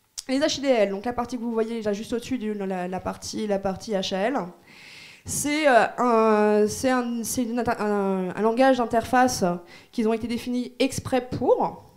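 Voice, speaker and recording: A woman's voice sits fairly high, and her pitch varies in an ordinary way. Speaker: conference speaker on Android security. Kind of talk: technical conference talk. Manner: fast; casual, hesitant with fillers.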